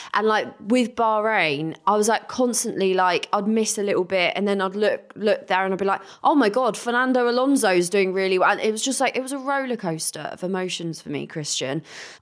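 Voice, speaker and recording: A woman talks at a fairly quick pace with hardly any pauses, in an English accent. Her medium-pitched voice has lively intonation. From England. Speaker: podcast co-host. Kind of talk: casual chat.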